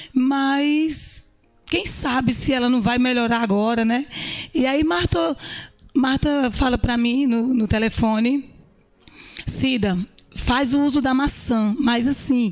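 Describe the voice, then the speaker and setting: Over noticeable background noise, a woman with a high pitch talks at a very slow pace, leaving long, frequent pauses. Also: ordinary pitch variation. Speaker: businesswoman. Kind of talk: interview.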